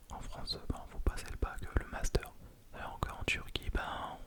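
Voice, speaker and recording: Against noticeable background noise, a man whispers fairly slowly. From France and Turkey (lives in Turkey). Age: 20s. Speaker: ASMR creator. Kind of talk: ASMR whispered close-mic chat to camera. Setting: home studio with condenser microphone. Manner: soft, close to the mic, hesitant with fillers.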